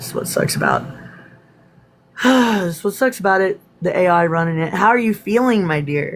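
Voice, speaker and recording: A woman at a moderate pace, lively in intonation, over noticeable background noise. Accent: American. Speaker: spiritual live streamer. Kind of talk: casual chat. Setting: live stream. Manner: animated.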